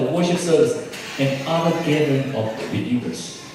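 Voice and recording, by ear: A man at a moderate pace, his tone slightly mellow, amid strong room echo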